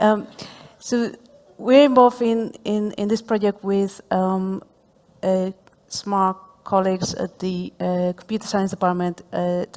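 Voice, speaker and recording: Speaking at a fairly slow pace with a Spanish accent, a woman keeps a medium pitch and fairly even intonation, leaving long, frequent pauses against noticeable background noise. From Spain. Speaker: professor. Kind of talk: panel discussion. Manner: hesitant, many fillers.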